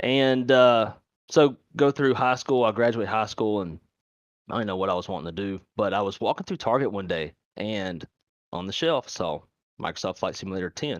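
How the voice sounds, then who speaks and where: Fairly low in pitch, a man speaks with lively intonation. The sound is dry and close with no echo, over a quiet background. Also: moderate pace. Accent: Louisiana. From Louisiana, Monroe. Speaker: airline flight dispatcher, sim streamer. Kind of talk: casual podcast interview.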